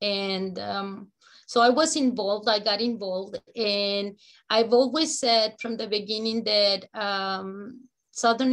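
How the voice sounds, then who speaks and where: At a fairly slow pace, a woman with a Spanish accent speaks with a fairly high pitch and fairly even intonation in a very clean recording with a silent background. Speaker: educator and immigrant advocate. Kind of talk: community meeting remarks. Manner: halting, many fillers.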